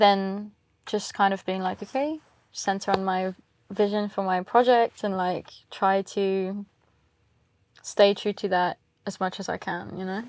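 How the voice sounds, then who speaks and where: Fairly slow and marked by long, frequent pauses, a woman with an English accent speaks at a medium pitch with fairly even intonation on a very clean recording with a silent background. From England. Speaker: singer-songwriter. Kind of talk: interview. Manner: casual, many fillers.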